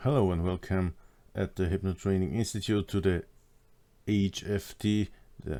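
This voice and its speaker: Speaking at a fairly slow pace, a man delivers fairly even intonation in a fairly low pitch with a dark, mellow tone. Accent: German. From Austria. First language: German. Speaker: hypnosis trainer. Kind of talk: online course lecture.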